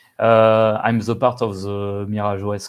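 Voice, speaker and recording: Fairly low-pitched speech from a man with a French accent, at a fairly slow pace. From France. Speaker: software developer. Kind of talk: casual interview. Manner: halting, many fillers.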